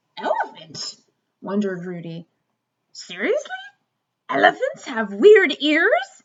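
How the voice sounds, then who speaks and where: A woman bellowing in a put-on character voice, high-pitched, with long, frequent pauses. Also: fairly slow pace. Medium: read story. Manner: bellowing, rude.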